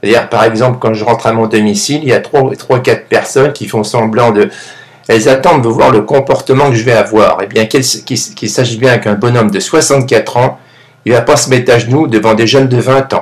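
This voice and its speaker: A man with a medium pitch and a somewhat breathy voice talks fairly quickly with ordinary pitch variation. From France. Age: 60s. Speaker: YouTube vlogger. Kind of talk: monologue vlog. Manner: halting, repeats words.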